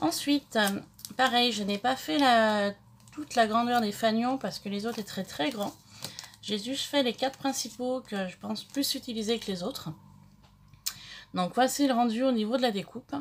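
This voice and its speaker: Over noticeable background noise, a woman talks at a fairly high pitch and a moderate pace, with ordinary pitch variation and long, frequent pauses. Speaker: craft youtuber. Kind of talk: tutorial. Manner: halting, many fillers.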